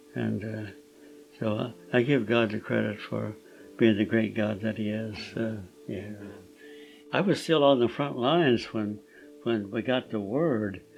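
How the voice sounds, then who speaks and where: Music plays in the background as a man with a fairly low pitch and ordinary pitch variation speaks at a fairly slow pace, leaving long, frequent pauses. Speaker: Korean War veteran. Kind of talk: interview answer. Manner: hesitant, reflective.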